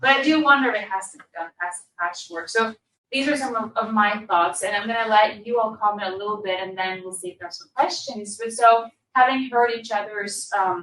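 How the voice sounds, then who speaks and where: The voice moves at a fairly quick pace, with ordinary pitch variation and big swings in loudness. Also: woman, fairly high pitch for a woman. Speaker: session moderator and researcher. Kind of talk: panel discussion moderation. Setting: conference room without microphones. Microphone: no microphone, speaking to room.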